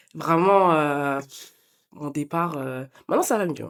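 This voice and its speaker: Her intonation is lively. The woman talks at a fairly slow pace. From France, Paris region (Yvelines). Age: 20s. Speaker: sprinter. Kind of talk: podcast interview. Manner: casual, hesitant with fillers.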